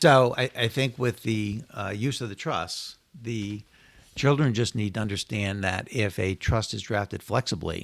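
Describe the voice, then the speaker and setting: With an American accent, a man in an unremarkable speaking voice talks at a fairly slow pace, his fairly low pitch showing ordinary pitch variation in a very clean recording with a silent background. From Connecticut, US. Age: 60s. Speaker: estate planning lawyer. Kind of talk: podcast interview.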